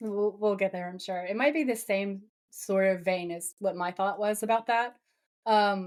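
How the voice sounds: A natural reading voice comes through against a quiet background.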